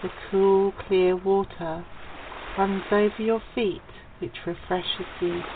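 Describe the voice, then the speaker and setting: Amid noticeable background noise, a woman with an English accent talks at a very slow pace, with medium pitch and fairly even intonation. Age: 50s. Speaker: radio host. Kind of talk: casual chat.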